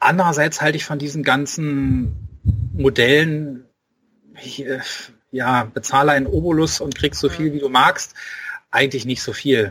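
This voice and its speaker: A man with a slight Berlin accent speaks at a fairly high pitch and a moderate pace, with ordinary pitch variation. His loudness swings a lot, and he takes long, frequent pauses. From Berlin (Spandau). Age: 40s. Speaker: author. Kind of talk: casual interview.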